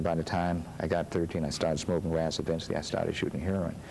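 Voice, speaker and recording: A man speaks in a very deep, low voice with monotone, flat intonation. Audible room echo surrounds it. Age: 60s. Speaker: pastor. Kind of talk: interview. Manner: halting.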